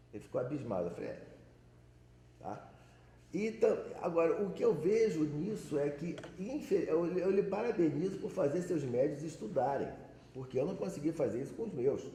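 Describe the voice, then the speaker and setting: Lively intonation is broken by long, frequent pauses, and audible room echo surrounds the voice. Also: man, high pitch for a man, moderate pace. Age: 60s. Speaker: Umbanda practitioner, audience member. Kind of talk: audience comment at a panel. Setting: panel with audience.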